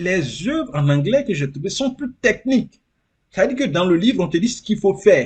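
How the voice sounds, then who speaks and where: A high-pitched man at a moderate pace, with very wide pitch swings. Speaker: immigrant sharing experience. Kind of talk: interview. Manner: animated.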